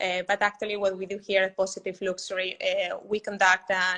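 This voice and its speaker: Over noticeable background noise, a woman speaks at a fairly quick pace in a medium pitch with monotone, flat intonation. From Spain. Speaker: sustainability client services director. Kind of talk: interview answer.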